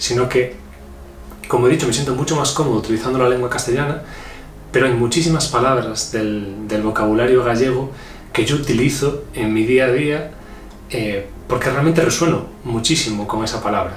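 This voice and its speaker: A man with a Galician accent talks at a moderate pace and medium pitch, with ordinary pitch variation. The recording carries audible room echo and noticeable background noise. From Galicia, Spain. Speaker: spiritual channeling podcast host. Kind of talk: reflective spiritual talk. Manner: hesitant, many fillers.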